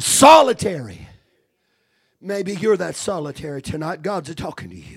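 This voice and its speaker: This man's voice sits high, with an animated tone and lively intonation at a moderate pace. His loudness swings widely, and he takes long, frequent pauses. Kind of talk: fervent revival sermon, preaching in full flow with call-and-response. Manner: animated, urgent and exhortative, punctuated with repeated 'Amen' and 'Hallelujah'; impassioned, pleading and authoritative, with a homespun folksy touch.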